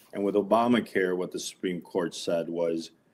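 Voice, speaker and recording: A man speaks at a moderate pace in a very deep, low pitch. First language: Spanish. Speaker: lawyer. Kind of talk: interview.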